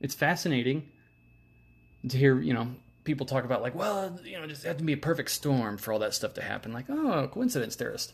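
A somewhat breathy man with an American accent, at a fairly quick pace. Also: fairly high pitch for a man, quiet background. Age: 30s. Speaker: podcast host. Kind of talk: casual monologue.

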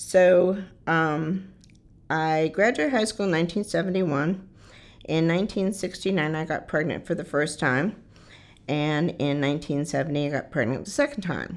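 The background is quiet, and a woman speaks in a plain, everyday voice at a moderate pace. Her pitch is fairly low, with ordinary variation. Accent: American. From Michigan, Detroit area. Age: 60s. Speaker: shelter resident sharing life story, army veteran. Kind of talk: personal testimony.

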